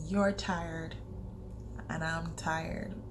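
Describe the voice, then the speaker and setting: A woman speaks very slowly with music playing in the background. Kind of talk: casual talk to camera.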